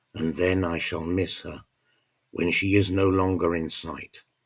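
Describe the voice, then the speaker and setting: A very deep, low male voice, somewhat breathy, at a fairly slow pace on a very clean recording with a silent background. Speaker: narrator. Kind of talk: audiobook story narration.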